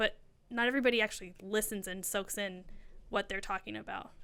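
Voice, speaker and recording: A woman speaks in a bright, sharp tone at a fairly quick pace. The recording is very clean, with a silent background. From Mexican-American family, US. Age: 30s. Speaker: real estate agent. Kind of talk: interview.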